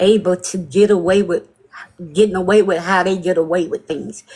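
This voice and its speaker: This woman talks at a medium pitch with ordinary pitch variation. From Mississippi, US South. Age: 60s. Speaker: livestream caller. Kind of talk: impassioned call-in commentary.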